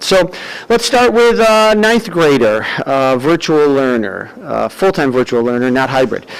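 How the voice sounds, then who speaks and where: With noticeable background noise behind him, a man with an American accent talks at a moderate pace in a fairly high pitch, using very wide pitch swings. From US Northeast. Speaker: parent speaking at public comment. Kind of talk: public comment at school board meeting.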